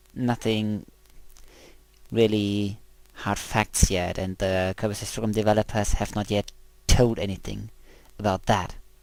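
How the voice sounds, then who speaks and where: Very clean recording, silent background, of a man with a German accent at a fairly low pitch, monotone and flat, at a fairly slow pace with long, frequent pauses. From Germany. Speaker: video game let's player. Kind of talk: gameplay commentary. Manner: halting.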